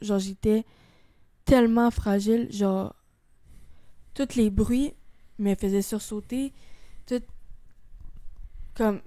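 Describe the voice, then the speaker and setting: A woman at medium pitch, speaking at a fairly slow pace. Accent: Quebec. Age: 20s. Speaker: guest sharing suicide attempt story. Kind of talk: testimony. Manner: casual.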